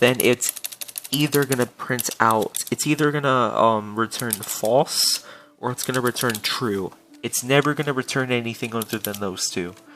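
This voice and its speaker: Medium-pitched male speech, its pitch varying in an ordinary way, with noticeable background noise behind it. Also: moderate pace. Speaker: Roblox scripting tutorial creator. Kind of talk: tutorial. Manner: halting, many fillers.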